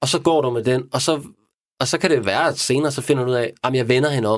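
Recorded very cleanly with a silent background, a man speaks at a moderate pace with ordinary pitch variation. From Denmark. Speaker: crime novelist. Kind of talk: casual chat. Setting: studio. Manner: halting.

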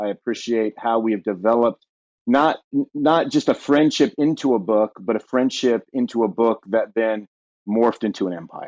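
A man has a plain, everyday voice with an American accent and a medium pitch. He talks at a moderate pace with ordinary pitch variation. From Southern California. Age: middle-aged. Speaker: pastor and podcast co-host, former musician. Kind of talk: casual chat.

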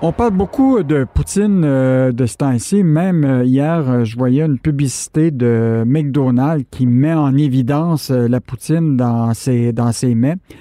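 A man speaks at a fairly slow pace with few pauses, his tone dark and mellow. The sound is dry and close, with no echo. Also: medium pitch for a man, ordinary pitch variation.

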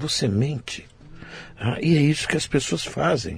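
Vocal fry and very wide pitch swings in a man's fairly high voice. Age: 60s. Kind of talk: casual chat. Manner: animated.

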